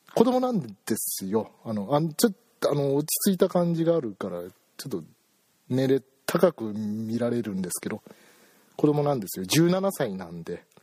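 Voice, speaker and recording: Animated in tone, a man speaks at a medium pitch and moderate pace, with long, frequent pauses. His pitch swings very widely and his loudness swings a lot, in a dry, close sound with no echo. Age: 30s. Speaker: solo podcast host. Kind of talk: casual solo talk. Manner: animated, frequent laughter.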